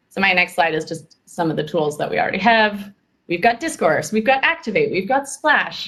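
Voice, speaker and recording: Her pitch medium, a woman speaks with very wide pitch swings. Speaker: community tools presenter. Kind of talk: work meeting presentation. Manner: fast.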